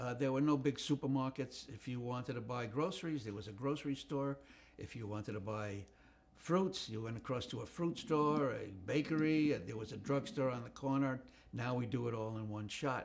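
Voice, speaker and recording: Speaking in a New York accent, a man talks at a moderate pace and medium pitch with ordinary pitch variation. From New York City, the Bronx. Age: 80s+. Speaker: retired comedy writer. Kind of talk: life story interview. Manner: halting, many fillers.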